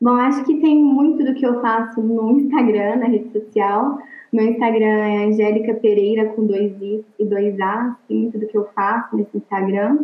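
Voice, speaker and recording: A woman with an ordinary speaking voice talks at a moderate pace and a fairly high pitch, with fairly even intonation and hardly any pauses. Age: 20s. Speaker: literature teacher. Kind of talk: interview.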